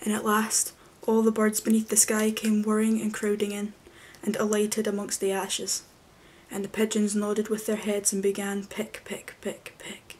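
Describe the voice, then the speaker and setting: A soft-spoken voice talking at a moderate pace. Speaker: storyteller. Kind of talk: story reading aloud. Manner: soft-spoken, low bedtime storytelling voice. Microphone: webcam.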